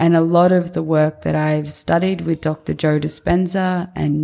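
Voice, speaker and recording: With an Australian accent, a woman speaks at a fairly low pitch. Her tone is dark and mellow, and her intonation is monotone and flat. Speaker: podcast host and founder. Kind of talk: solo podcast monologue. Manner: casual, conversational, filler words.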